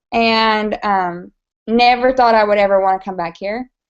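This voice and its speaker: In an American accent, a woman speaks at a medium pitch and a moderate pace. Her pitch variation is ordinary. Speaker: makeup direct seller. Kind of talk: casual chat.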